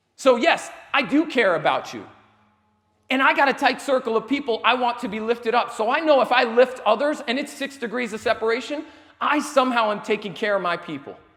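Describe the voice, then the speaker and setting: A man speaks loudly at a fairly quick pace in a passionate tone, his pitch extremely high with ordinary variation. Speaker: motivational speaker. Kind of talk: motivational talk to live audience. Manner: loud and passionate.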